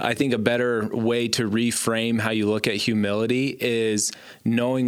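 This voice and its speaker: The man's intonation stays monotone and flat. He talks at a medium pitch. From Gillette, Wyoming. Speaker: church member, house flipper. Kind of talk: casual faith discussion.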